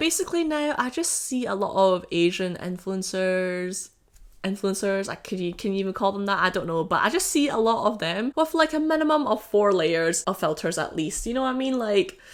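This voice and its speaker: A woman speaks at medium pitch and a fairly quick pace, her pitch swinging very widely. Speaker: YouTuber. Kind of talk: casual vlog commentary. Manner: animated.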